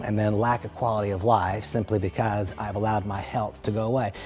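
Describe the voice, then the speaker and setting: The talking runs at a fairly quick pace while music plays in the background. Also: man. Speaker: motivational speaker. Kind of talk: motivational talk. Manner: fast; animated.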